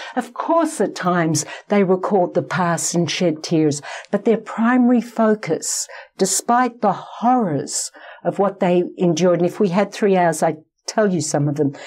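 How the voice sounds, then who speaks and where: A woman talks at a moderate pace in an Australian accent. Her intonation is lively and her loudness very even. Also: medium pitch for a woman. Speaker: psychologist. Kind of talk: interview.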